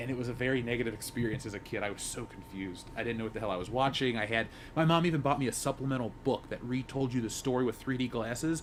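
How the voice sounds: At a fast pace with few pauses, a man talks at medium pitch with ordinary pitch variation.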